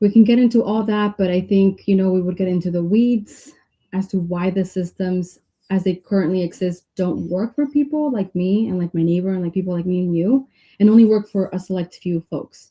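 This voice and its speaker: A woman speaks at a medium pitch and moderate pace, somewhat breathy. Her pitch varies in an ordinary way. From Mexico, moved to US at age eight. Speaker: political candidate. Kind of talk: interview.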